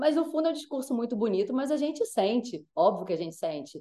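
Her pitch swings very widely as the woman speaks. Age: 40s. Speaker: sports journalist. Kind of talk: interview. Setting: video call. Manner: animated.

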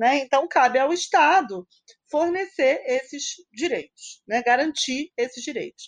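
Her high voice dry and close with no echo, a woman speaks at a fairly slow pace with lively intonation. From Niterói, Brazil. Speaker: mathematics professor. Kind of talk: casual chat.

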